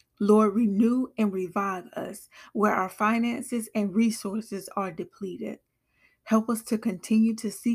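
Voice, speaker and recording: This woman's voice is fairly high and somewhat breathy, with ordinary pitch variation. She speaks at a fairly slow pace in a solemn tone. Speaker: prayer podcaster. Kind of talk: fervent prayer, led aloud for listeners. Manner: earnest, devout, solemn.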